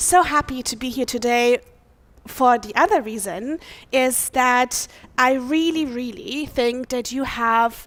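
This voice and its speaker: Speaking very slowly with a German accent, a woman uses a high pitch, a bright, sharp tone, lively intonation and big swings in loudness. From Germany. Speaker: pastor. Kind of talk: sermon. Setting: church.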